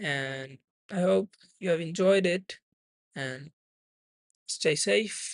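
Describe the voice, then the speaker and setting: In a dry, close recording with no echo, a man with a high voice talks very slowly with lively intonation. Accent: non-native. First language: not English. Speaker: trading streamer. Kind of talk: live trading stream commentary. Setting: live stream. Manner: non-native, careful pronunciation.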